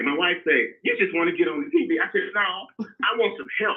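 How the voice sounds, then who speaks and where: A man speaks with a Mississippi accent. His pace is moderate. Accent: US Southern (Mississippi). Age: 60s. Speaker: caller. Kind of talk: call-in complaint. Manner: halting.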